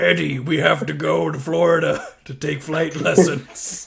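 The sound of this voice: A raspy, menacing put-on character voice from a man, fairly high in pitch, at a moderate pace.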